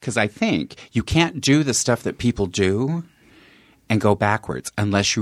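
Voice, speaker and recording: On a very clean recording with a silent background, a man has an ordinary speaking voice with a fairly low pitch. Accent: American. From Colorado. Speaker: comedian. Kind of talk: casual chat.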